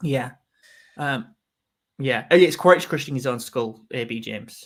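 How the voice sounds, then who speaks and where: A man with a Yorkshire accent talks at a fairly slow pace, his loudness swinging a lot, on a very clean recording with a silent background. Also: medium pitch for a man, ordinary pitch variation. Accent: Yorkshire accent, noticeable. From northern England, Yorkshire. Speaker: film fan livestream host. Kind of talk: casual chat. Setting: livestream.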